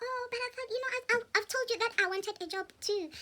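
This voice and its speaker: A squeaky, female-sounding put-on character voice at an extremely high pitch for a woman. The pace is very fast. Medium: solo performance. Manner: eager.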